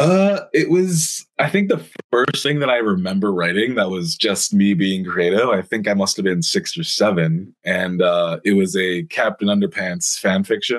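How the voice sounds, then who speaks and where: A man with a Canadian accent has an unremarkable speaking voice, fairly low in pitch, with lively intonation. He keeps a moderate pace and very even loudness, with hardly any pauses. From British Columbia, Canada. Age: 20s. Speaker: writer and stand-up comedian. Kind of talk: casual interview.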